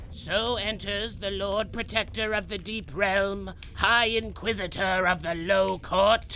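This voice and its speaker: A man in a put-on character voice, high in pitch, at a fairly slow pace with hardly any pauses, over clear background noise. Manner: loud, ceremonious.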